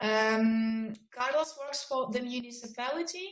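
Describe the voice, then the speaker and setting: A woman's voice at a high pitch. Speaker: project coordinator. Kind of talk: video conference moderation. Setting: video call. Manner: soft-spoken. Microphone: too quiet.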